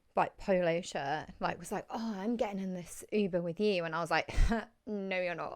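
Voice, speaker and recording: With an English accent, a woman speaks at a moderate pace and a medium pitch. Her intonation is fairly even. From England. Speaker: podcast host. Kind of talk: casual chat.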